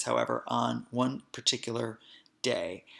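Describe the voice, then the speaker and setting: This man has an American accent. His recording is very clean, the background silent. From New Jersey, Hoboken. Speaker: podcast host, spiritual healer. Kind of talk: podcast monologue, personal storytelling.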